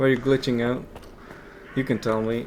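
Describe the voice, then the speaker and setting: A man speaks at a medium pitch with a non-native accent. His intonation stays fairly even, and there is noticeable background noise. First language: not English. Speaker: gaming youtuber. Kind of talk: gameplay commentary. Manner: casual, halting.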